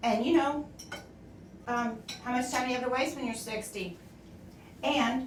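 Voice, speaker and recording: A woman with a high voice and fairly even intonation talks at a moderate pace with long, frequent pauses, amid audible room echo and noticeable background noise. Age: 60s. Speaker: streamer's mother, co-host. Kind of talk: casual chat.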